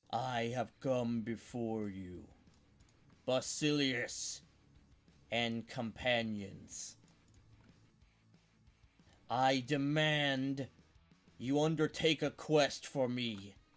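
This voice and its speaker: A man uses a booming, put-on character voice at a medium pitch. He speaks very slowly, with long, frequent pauses. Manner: commanding, menacing.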